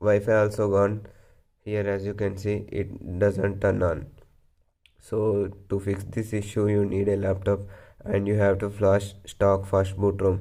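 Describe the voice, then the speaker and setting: At a fairly slow pace, a man talks in a fairly low, dark and mellow voice with monotone, flat intonation. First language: not English. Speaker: tech tutorial youtuber. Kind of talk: tutorial.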